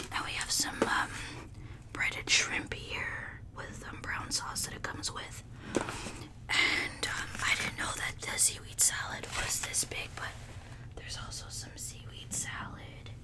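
A soft-spoken woman whispering at a fairly slow pace over loud background noise. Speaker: mukbang creator. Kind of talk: casual vlog chat. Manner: soft ASMR whisper close to mic. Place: home room. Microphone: studio mic.

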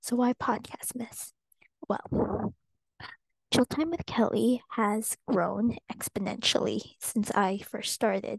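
The voice is soft-spoken, with fairly even intonation. The background is quiet and the sound is dry, with no echo. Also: woman. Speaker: podcast host. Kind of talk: ASMR podcast monologue. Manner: casual, freestyled. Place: home room. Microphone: earbuds.

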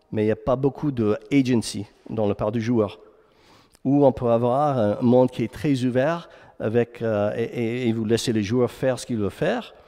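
Against a quiet background, a man with an English accent talks at a moderate pace in a dark, mellow tone. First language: English (speaking French). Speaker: game narrative director. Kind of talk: conference talk; conference lecture. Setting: stage with audience. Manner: halting, many fillers and repeats; energetic. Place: hall.

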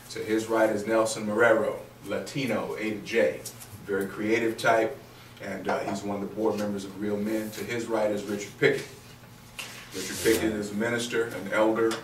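Amid noticeable background noise, a man talks at a moderate pace with fairly low pitch, monotone, flat intonation and long, frequent pauses. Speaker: discussion facilitator. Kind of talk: panel introduction. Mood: warm, joking. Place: meeting room. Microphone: camera far.

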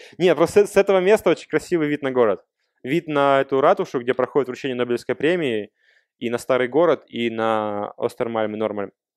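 A man's quick-paced, medium-pitched ordinary speaking voice with lively intonation, dry and close with no echo. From Russia. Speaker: software developer. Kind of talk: Q&A after a talk. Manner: casual, conversational.

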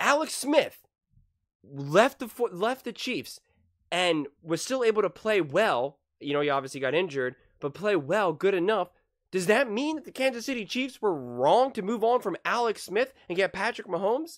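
The speaker moves through very wide pitch swings at a moderate pace against a quiet background. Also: man. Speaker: sports reaction streamer. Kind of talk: commentary. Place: home room. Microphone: headset.

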